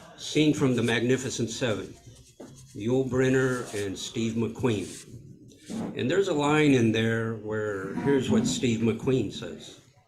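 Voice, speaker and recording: Very slow speech from a man with an American accent, medium pitch and ordinary pitch variation, plus audible room echo and noticeable background noise. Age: 60s. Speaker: author and writing workshop presenter. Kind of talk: workshop talk.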